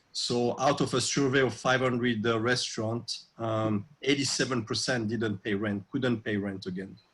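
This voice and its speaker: A man with a French accent speaks at a moderate pace and a medium pitch, his intonation fairly even. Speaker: restaurateur. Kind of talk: interview. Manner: halting with many fillers.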